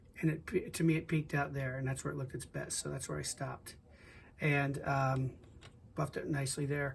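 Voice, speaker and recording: A somewhat breathy man with a fairly high pitch speaks at a fairly quick pace with fairly even intonation. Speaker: scale model builder. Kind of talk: tutorial. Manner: halting, stuttering; casual.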